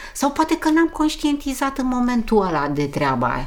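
A woman's voice with very wide pitch swings, amid noticeable background noise. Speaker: interviewee. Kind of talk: casual chat.

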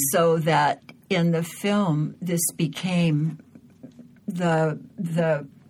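Somewhat breathy, a woman with an American accent speaks in a fairly low pitch. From Southern California, outside Los Angeles. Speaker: journalist and author, former war correspondent. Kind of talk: interview conversation. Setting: studio.

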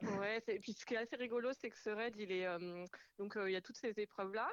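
Fairly high-pitched, a woman talks at a fairly quick pace with fairly even intonation in an unremarkable speaking voice. The sound is dry and close, with no echo. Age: 30s. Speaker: amateur raid participant. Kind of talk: radio interview. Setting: phone call. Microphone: echo on phone line.

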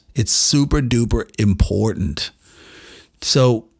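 A man's animated, somewhat breathy voice. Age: 50s. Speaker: doctor and podcast host. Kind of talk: casual monologue. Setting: home studio.

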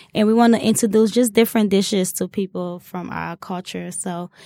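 A woman talks at a moderate pace with a medium pitch, a dark, mellow tone and monotone, flat intonation. The recording is very clean with a silent background, dry and close with no echo. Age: 30s. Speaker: restaurant owner. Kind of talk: interview.

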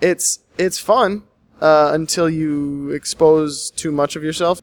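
A man talks with an unremarkable speaking voice at a fairly high pitch. His intonation is fairly even, and the sound is dry and close with no echo. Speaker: improv classmate. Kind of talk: casual chat.

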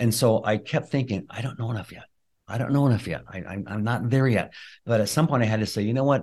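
Very fast speech with ordinary pitch variation against a quiet background. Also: man, medium pitch for a man. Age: 60s. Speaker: chiropractor and functional medicine practitioner. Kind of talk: interview.

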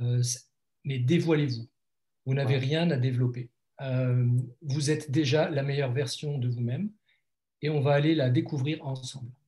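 With long, frequent pauses, a man speaks in a fairly high pitch, his voice somewhat breathy with a dark, mellow tone. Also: fairly even intonation, moderate pace. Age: 50s. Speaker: life coach and blogger. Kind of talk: interview. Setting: video call.

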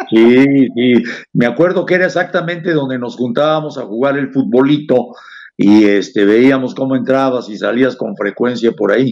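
At a moderate pace, a man talks in a normal speaking voice with a medium pitch and ordinary pitch variation. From Mexico, Puebla city. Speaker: radio host. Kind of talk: interview. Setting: studio.

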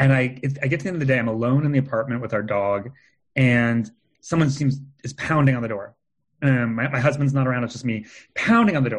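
A man at a medium pitch, somewhat breathy, very fast pace, ordinary pitch variation, quiet background. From California. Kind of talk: casual chat. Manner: animated, many fillers.

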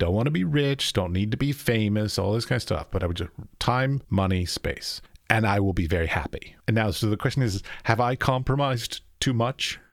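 With an American accent, a man speaks at a fairly quick pace and a medium pitch, with ordinary pitch variation. It is a normal speaking voice on a very clean recording with a silent background. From United States. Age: 40s. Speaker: podcast host and artist. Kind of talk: interview conversation.

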